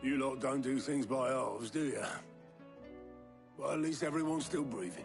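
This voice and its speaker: A raspy, put-on character voice moves at a moderate pace over clear background music. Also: man, medium pitch for a man. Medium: machinima. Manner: gruff, plain-spoken.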